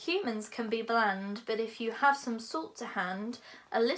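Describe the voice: Someone is doing plain reading aloud. Their pitch moves in an ordinary way.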